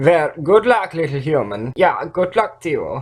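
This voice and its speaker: Drawling at a moderate pace, a man puts on a character voice pitched high. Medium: read story. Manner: casual, drawling, repeats himself with "yeah".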